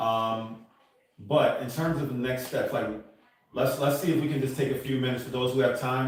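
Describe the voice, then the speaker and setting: In a room with audible echo and noticeable background noise, a man talks fairly quickly at a medium pitch in a flat monotone. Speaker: meeting facilitator. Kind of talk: group meeting discussion. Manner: halting, many fillers.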